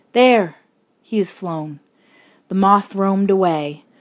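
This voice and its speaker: A normal speaking voice from a woman at a medium pitch and moderate pace, with ordinary pitch variation and a very clean recording with a silent background. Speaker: actress reading aloud. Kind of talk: audiobook reading of a classic novel.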